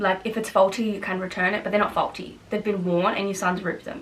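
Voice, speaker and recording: Someone speaks with an Australian accent over noticeable background noise. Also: woman. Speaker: YouTuber. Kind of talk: casual Q&A vlog. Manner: loud, outgoing; fast, chatty with fillers.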